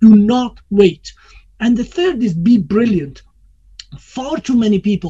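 A man is talking. His tone is dark and mellow. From Iran. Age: 50s. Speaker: entrepreneur. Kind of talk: interview. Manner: hesitant with fillers.

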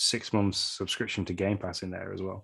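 A man speaks with a fairly low pitch. The background is quiet. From England. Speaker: podcast co-host. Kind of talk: casual chat.

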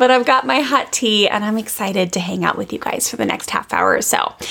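A woman at medium pitch with a fairly bright tone, vocal fry, very wide pitch swings and a fairly quick pace.

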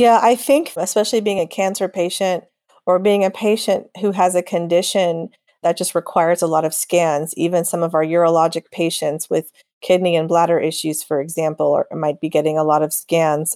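A woman with an American accent has a dark, mellow tone and a fairly low pitch. Her fairly quick delivery has fairly even intonation in a dry, close sound with no echo. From Texas. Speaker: radiologist. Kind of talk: interview. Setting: podcast.

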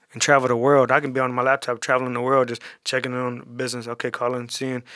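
At a very fast pace, a man with a medium pitch sounds animated and energetic, his bright, sharp tone dry and close with no echo. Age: 30s. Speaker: barber and business owner. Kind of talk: casual interview. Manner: animated, energetic; fast, with many repetitions.

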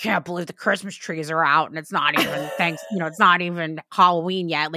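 A woman's put-on character voice, raspy and fairly low in pitch, at a fairly quick pace. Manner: angry, ranting.

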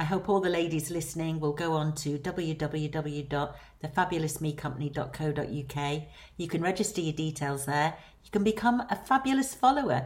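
Lively intonation from a woman with a Lancashire accent, very deep and low in pitch for a woman, at a moderate pace. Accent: Lancashire, northern English. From Lancashire, England. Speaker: celebrity manager. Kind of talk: recorded message.

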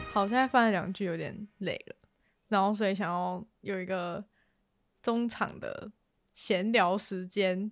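At a fairly slow pace, a woman speaks in a medium pitch with fairly even intonation and long, frequent pauses. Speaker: podcast host. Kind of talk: casual chat.

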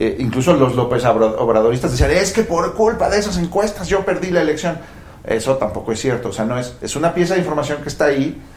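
Speaking at a very fast pace, a man with a fairly high pitch and lively intonation is heard through audible room echo and noticeable background noise. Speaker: political science professor. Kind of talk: panel discussion.

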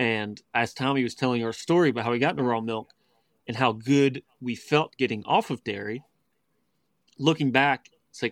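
A man with an ordinary speaking voice and an American accent, medium pitch and moderate pace, in a very clean recording with a silent background and a dry, close sound with no echo. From West Virginia. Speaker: raw milk advocate. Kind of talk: interview.

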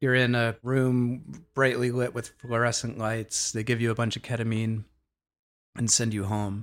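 A man with an American accent speaks at a moderate pace in a medium pitch, his intonation flat and monotone. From US Northeast, Boston area. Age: 50s. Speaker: DJ and psychedelic facilitator. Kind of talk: interview conversation.

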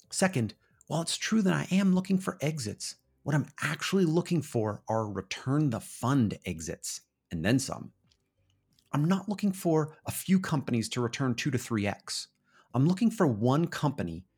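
On a very clean recording with a silent background, a man's fairly high, somewhat breathy voice moves through very wide pitch swings. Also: moderate pace. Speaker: podcast announcer. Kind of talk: scripted narration.

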